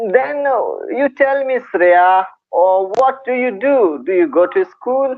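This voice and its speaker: Extremely high-pitched, a man talks at a very slow pace with lively intonation. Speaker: English teacher YouTuber. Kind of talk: video call interview.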